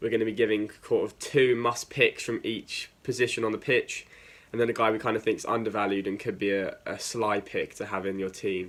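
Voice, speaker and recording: His speech comes fairly quickly. The man has an English accent. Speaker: football video host. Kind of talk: casual talk to camera. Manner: casual, lots of fillers.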